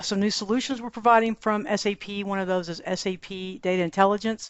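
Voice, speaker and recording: A woman of medium pitch with a Texan accent, fairly quick in pace and ordinary in pitch variation. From Texas. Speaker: podcast host. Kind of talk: podcast interview.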